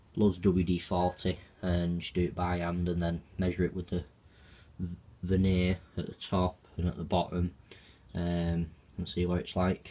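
A man speaks at a moderate pace in a very deep, low voice. His intonation is flat and monotone, broken by long, frequent pauses. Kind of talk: casual vlog chat. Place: garage. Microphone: phone near.

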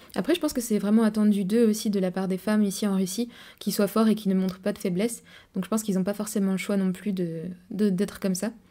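A woman talks at a very fast pace in a dark, mellow, somewhat breathy tone with fairly even intonation against a quiet background. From France. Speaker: travel vlogger. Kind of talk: casual monologue to camera. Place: home room. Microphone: studio mic.

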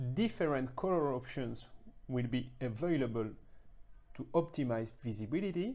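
A dark, mellow tone with lively intonation. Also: moderate pace.

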